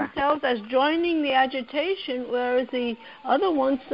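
A high-pitched woman with an American accent at a moderate pace, over noticeable background noise. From United States. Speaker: anthropologist and NGO director. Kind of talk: interview answer.

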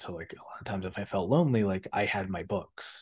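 This man has a normal speaking voice with a fairly low pitch. He talks at a fairly quick pace against a quiet background. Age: 30s. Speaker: podcast co-host. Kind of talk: casual chat.

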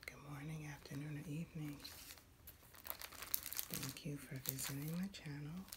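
Loud background noise sits behind a woman speaking at a moderate pace in an American accent. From New Jersey. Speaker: ASMR creator. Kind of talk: ASMR soft-spoken talk.

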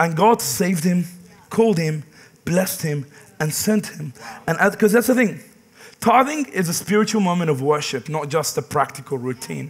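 An animated tone and lively intonation at a moderate pace, with long, frequent pauses. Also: man, high pitch for a man. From Middle East. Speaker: pastor. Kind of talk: sermon. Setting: church. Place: church.

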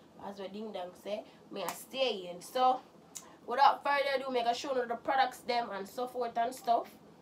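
High-pitched speech from a woman with big swings in loudness, set against noticeable background noise. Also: ordinary pitch variation, moderate pace. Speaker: cooking vlogger. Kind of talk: cooking tutorial. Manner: casual, chatty.

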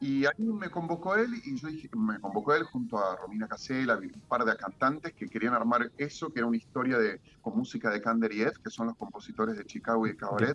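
Barely pausing, a man talks at a fairly quick pace with lively intonation. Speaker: guest. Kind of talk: interview answer. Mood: warm, reminiscing. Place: home room. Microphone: video call.

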